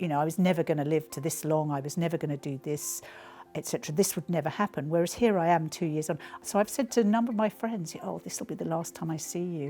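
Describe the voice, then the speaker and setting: A woman with an English accent speaks very fast in a fairly low, dark, mellow tone. Her pitch varies in an ordinary way. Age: 60s. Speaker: cancer patient. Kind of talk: testimony.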